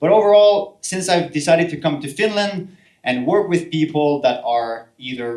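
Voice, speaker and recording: A man with a Quebec accent speaks with lively intonation. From French Canada. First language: French. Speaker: healthcare professional and solopreneur. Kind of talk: talk to an audience. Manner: halting, many fillers and repeats.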